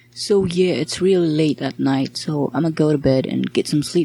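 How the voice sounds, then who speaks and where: A quiet woman speaks with a very deep, low pitch. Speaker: hobbyist game developer. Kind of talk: casual devlog narration. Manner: quiet, slurred.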